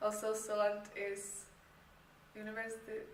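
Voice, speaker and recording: Noticeable background noise and audible room echo surround the recording. A woman speaks in a flat monotone at a fairly high pitch. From Czech Republic. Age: 18. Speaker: university applicant, student performer. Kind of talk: application video self-introduction. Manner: hesitant, many fillers.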